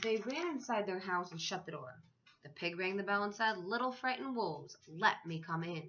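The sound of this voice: The reading voice comes across as unforced.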